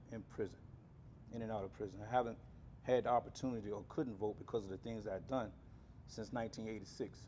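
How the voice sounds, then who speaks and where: Pitched at a medium level, a man's voice carries a dark, mellow tone. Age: 60s. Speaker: community organizer. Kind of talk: personal testimony. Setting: press conference.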